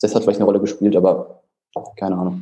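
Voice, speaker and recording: A man's fairly low-pitched voice with music in the background. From Germany. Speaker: fitness prep coach. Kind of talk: casual chat.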